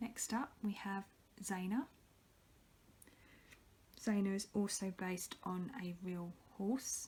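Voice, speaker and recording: Soft-spoken and very slow, a woman of medium pitch leaves long, frequent pauses, her pitch varying in an ordinary way. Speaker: polymer clay artist. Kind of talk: ASMR show and tell.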